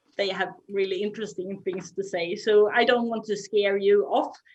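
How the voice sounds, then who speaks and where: A woman with a Swedish accent speaks at medium pitch. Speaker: moderator, non-profit general secretary. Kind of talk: panel discussion. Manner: halting.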